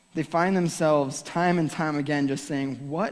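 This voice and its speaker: Amid audible room echo, a man with a fairly high pitch speaks at a moderate pace with ordinary pitch variation. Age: 30s. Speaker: youth pastor. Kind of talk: sermon. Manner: loud; animated.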